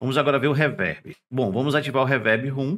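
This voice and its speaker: A man speaks against a quiet background. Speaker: tech youtuber. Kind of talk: product review tutorial. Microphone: testing new condenser mic and interface.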